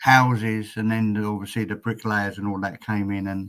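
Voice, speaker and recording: A man with an English accent, fairly low in pitch, at a moderate pace. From England. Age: 60s. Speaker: retired truck driver. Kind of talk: casual chat.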